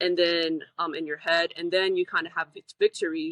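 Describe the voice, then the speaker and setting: Intonation stays monotone and flat. The woman's pitch is fairly low. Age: 20s. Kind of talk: interview. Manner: fast.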